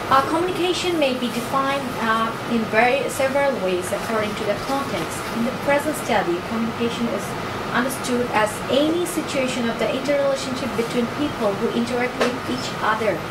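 A woman speaks at a fairly quick pace amid loud background noise. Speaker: PhD student presenting research proposal. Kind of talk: academic presentation. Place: meeting room.

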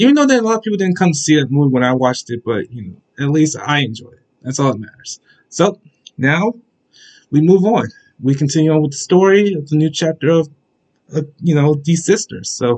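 A man's fairly quick speech with lively intonation against a quiet background. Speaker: anime reaction vlogger. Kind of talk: casual vlog chat. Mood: upbeat, enthusiastic. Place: home room. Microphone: webcam.

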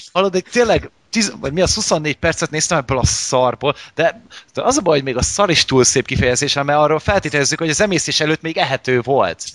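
An unremarkable speaking voice moves at a fairly quick pace with lively intonation. The sound is dry and close, with no echo. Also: man, fairly high pitch for a man. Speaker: podcast host. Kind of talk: casual chat.

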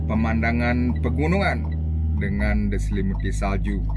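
A man speaking fairly slowly over loud background music. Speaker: truck driver vlogger. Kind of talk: casual vlog chat. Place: car. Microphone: phone near.

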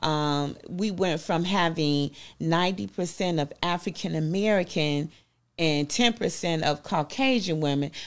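Speaking at a very slow pace, a woman with a Southern US accent has a fairly low pitch and ordinary pitch variation. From US South. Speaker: business owner. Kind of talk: interview. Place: studio.

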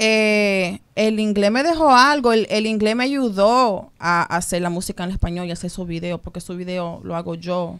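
A woman at a moderate pace with ordinary pitch variation, hardly any pauses, and a quiet background. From New York. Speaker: model and singer; interview guest. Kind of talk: radio interview; interview answer. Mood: relaxed, candid. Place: studio. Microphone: studio mic.

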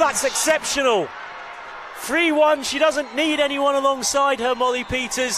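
The voice is raised and projected, with fairly even intonation. Noticeable background noise is present. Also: man, extremely high pitch for a man, moderate pace. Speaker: football commentator.

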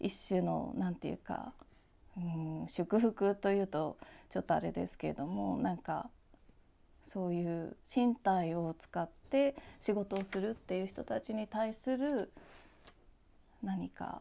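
With lively intonation and a dark, mellow tone, a woman talks at a fairly slow pace, leaving long, frequent pauses. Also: medium pitch for a woman. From Japan, Yokohama; Japan. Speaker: visual artist; interviewee. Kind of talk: interview; interview answer. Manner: halting, many fillers. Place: workshop.

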